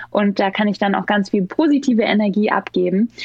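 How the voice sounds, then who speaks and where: The speech moves at a fairly quick pace, with noticeable noise in the background. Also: woman. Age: 30s. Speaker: startup founder. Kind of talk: podcast interview.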